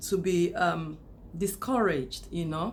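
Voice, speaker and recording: Recorded with audible room echo, a woman speaks at a fairly slow pace and a fairly low pitch, with ordinary pitch variation. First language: not English. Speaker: YouTuber. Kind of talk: casual monologue to camera. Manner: unscripted, with hesitations.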